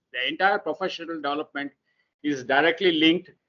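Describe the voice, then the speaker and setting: Fairly high pitch for a man, delivered at a fairly quick pace, and ordinary pitch variation. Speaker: teacher trainer. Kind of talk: lecture. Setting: online webinar. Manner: fast; halting, many fillers.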